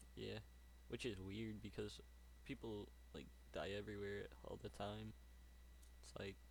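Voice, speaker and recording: Vocal fry, very wide pitch swings, and audible room echo. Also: man. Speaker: YouTube reactor. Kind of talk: casual chat. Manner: halting, self-correcting.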